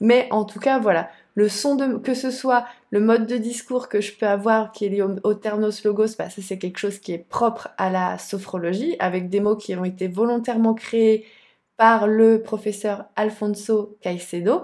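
Recorded very cleanly against a silent background, a woman talks at a fairly slow pace with a fairly high pitch and fairly even intonation. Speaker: sophrologist and podcast host. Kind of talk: casual video monologue. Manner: slower, softer voice when guiding sessions.

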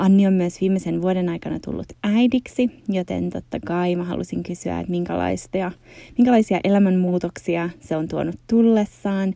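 With an ordinary speaking voice, a woman keeps a medium pitch and fairly even intonation while talking at a moderate pace. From Finland. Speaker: podcast host and yoga teacher. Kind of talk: casual interview conversation; scripted intro.

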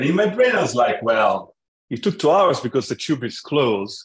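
A man with an Italian accent talks at a fairly quick pace in a somewhat breathy voice, the sound dry and close with no echo. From Italy, Florence. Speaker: tech startup founder. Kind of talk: casual interview conversation. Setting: remote call.

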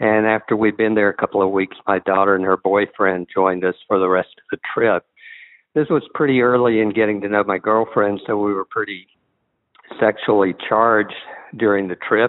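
A man with an American accent and an ordinary speaking voice talks at a fairly low pitch with fairly even intonation and big swings in loudness. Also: moderate pace. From US Northeast. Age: 40s. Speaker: caller. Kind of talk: recorded voicemail question.

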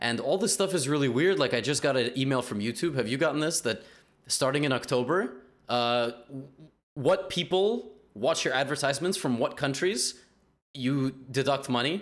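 A man with a New York accent and a fairly high voice, lively intonation, a moderate pace and very even loudness, on a very clean recording with a silent background. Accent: New York area American. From US Northeast, New Jersey. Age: 20s. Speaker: podcast host, chess YouTuber. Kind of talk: casual chat.

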